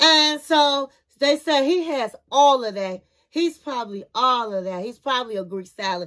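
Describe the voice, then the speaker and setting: A high-pitched woman, animated, at a fairly slow pace against a quiet background. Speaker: TV review youtuber. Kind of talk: casual TV show review commentary. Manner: animated, chatty. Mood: playful, gossipy. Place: home room. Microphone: phone near.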